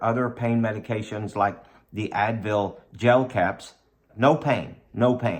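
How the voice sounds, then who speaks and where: Speaking at a fairly slow pace, a man keeps his medium pitch in a monotone, flat intonation. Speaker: vlogger sharing dental implant experience. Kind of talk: personal testimony vlog. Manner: conversational, repetitive.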